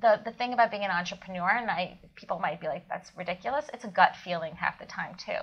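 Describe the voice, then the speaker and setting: A woman with an American accent has a normal speaking voice at a medium pitch. She talks at a fairly quick pace with ordinary pitch variation. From Ukraine (Kyiv), later US. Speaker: food company founder. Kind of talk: interview. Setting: in person.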